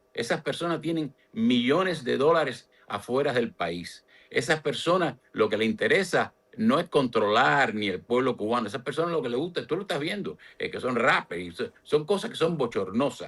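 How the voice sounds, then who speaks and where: A man speaks at a moderate pace in a fairly high pitch, his voice showing vocal fry and very wide pitch swings. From Cuba. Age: 70s. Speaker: political analyst. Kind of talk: political interview.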